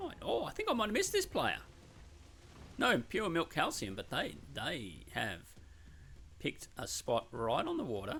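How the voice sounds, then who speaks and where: At a moderate pace, a man with an Australian accent speaks with long, frequent pauses. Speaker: game caster. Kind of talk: live commentary. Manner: animated.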